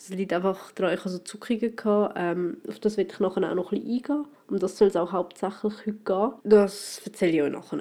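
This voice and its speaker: A woman at a medium pitch and a very fast pace, with ordinary pitch variation. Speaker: podcaster. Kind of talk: casual solo monologue. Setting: at home in quarantine.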